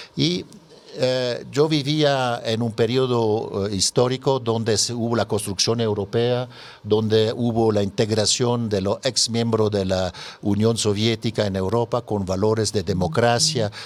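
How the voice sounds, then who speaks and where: Fairly slow, fairly even speech from a man, medium in pitch. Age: 60s. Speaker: NGO president. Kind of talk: radio interview. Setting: radio studio. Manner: halting, many fillers.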